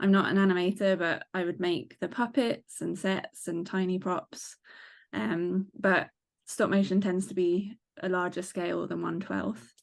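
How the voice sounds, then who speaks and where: A woman in an English accent at a fairly slow pace, with ordinary pitch variation against a quiet background. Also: medium pitch for a woman. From England. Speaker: model maker, reality show contestant. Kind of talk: casual interview.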